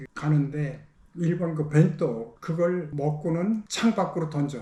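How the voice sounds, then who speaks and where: Speaking very slowly, a man uses a fairly high pitch, a dark, mellow tone and ordinary pitch variation. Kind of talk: interview answer.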